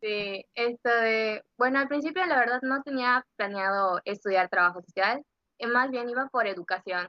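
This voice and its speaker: A woman speaks at a fairly slow pace in an ordinary speaking voice. Her pitch variation is ordinary. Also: fairly high pitch for a woman. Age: 20s. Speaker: social work student. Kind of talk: casual interview chat. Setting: at home, remote recording.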